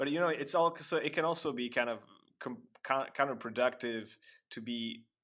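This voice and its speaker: A man with a French accent, in a very clean recording with a silent background. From France. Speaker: technical translator and engineer. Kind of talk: casual interview chat. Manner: halting, with repeated words.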